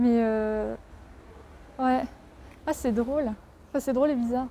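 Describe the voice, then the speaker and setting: A woman's high voice with a dark, mellow tone, fairly even intonation and very even loudness, at a fairly slow pace. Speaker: vlogger. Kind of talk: casual vlog talk. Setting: outdoors by the sea. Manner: casual with many hesitations.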